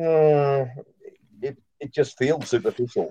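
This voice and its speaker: Dry and close with no echo, a man's dark, mellow voice sits at a fairly high pitch, monotone and flat in intonation, with an Australian accent. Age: 60s. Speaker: former missionary. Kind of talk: casual live panel chat.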